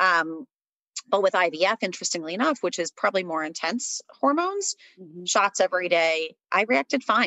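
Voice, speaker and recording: A woman speaks at a medium pitch and moderate pace in an ordinary speaking voice. Her intonation is lively, with big swings in loudness. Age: 30s. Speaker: blogger on infertility. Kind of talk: interview.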